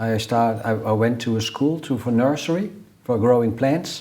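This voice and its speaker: In a Dutch accent, a dark, mellow tone with ordinary pitch variation, a moderate pace and audible room echo. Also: man. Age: 60s. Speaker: numerologist. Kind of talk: interview. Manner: halting.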